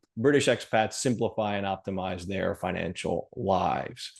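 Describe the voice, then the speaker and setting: A man with a normal speaking voice and an American accent talks in a fairly low pitch with fairly even intonation. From US. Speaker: financial planner. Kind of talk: webinar presentation. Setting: video call.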